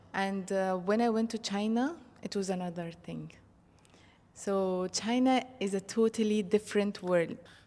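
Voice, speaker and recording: Her pace is fairly slow and her intonation fairly even. The woman's voice sits at a medium pitch with a dark, mellow tone. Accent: Arabic. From Egypt. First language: Arabic. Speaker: marketing professional and polyglot. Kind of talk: interview. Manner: hesitant, many fillers.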